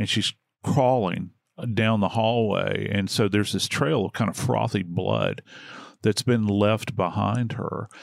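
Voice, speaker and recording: A man speaks at a fairly slow pace with a fairly low pitch and vocal fry. His tone is warm, and his pitch variation is ordinary. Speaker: true crime podcast host. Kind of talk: casual true crime discussion. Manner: conversational, warm.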